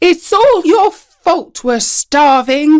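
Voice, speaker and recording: Someone shouts in a put-on character voice. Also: female-sounding voice. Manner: distressed, shouting.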